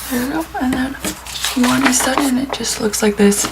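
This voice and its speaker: A soft-spoken woman talks with an American accent. Noticeable background noise runs under her voice. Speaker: planner YouTuber. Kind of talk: casual tutorial vlog. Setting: at home, early morning.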